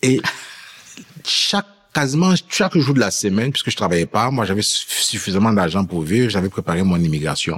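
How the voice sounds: With a fairly bright tone and a slightly husky edge, the speech moves at a fairly quick pace with lively intonation. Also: man, fairly low pitch for a man.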